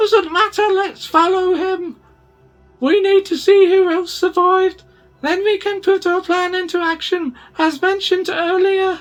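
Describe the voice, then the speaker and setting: A female-sounding, squeaky put-on character voice at an extremely high pitch, at a moderate pace over faint background music. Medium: read story.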